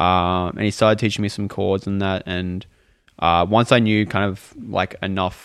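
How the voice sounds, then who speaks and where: With an ordinary speaking voice, a man talks at a fairly low pitch and a moderate pace. His intonation is fairly even. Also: quiet background. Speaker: band member musician. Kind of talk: casual interview chat. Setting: in person in a studio.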